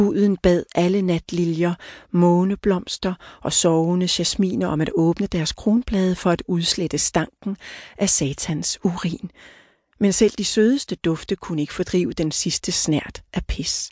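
A woman speaks very slowly at a medium pitch with ordinary pitch variation and a dark, mellow tone. The sound is dry and close with no echo, over a quiet background. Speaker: audiobook narrator. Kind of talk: audiobook narration, reading literary fiction aloud. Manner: solemn, measured, grave storytelling pace; formal, mythic and somber tone.

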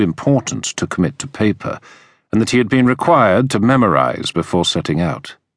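Vocal fry runs through a man's voice as his pitch swings very widely. The background is quiet. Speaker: audiobook narrator. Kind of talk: dramatic audiobook narration of a historical thriller, read aloud. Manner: tense, measured storytelling pace, building suspense.

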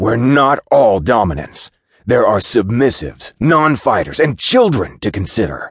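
A man's put-on character voice, growling, at a medium pitch and a moderate pace. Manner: growling, wolfish.

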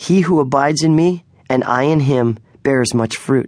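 Using a plain, everyday voice, a man talks fairly slowly at a medium pitch, with ordinary variation in that pitch. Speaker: audiobook narrator. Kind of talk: dramatic audiobook narration, second-person storytelling. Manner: hushed, suspenseful, slow pacing that builds atmosphere.

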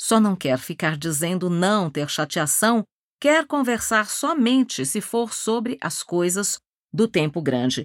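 A woman with a Brazilian accent speaks very slowly at medium pitch in a dramatic tone with very wide pitch swings, the sound dry and close with no echo on a very clean recording with a silent background. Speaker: audiobook narrator. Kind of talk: audiobook narration of a novel, dramatic. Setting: studio. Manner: dramatic, measured, literary storytelling.

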